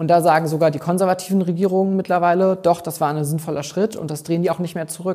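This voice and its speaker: Against a quiet background, a man talks very fast at a high pitch with fairly even intonation. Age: 20s. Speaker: youth party spokesperson. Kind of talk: interview answer. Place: home room. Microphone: lapel.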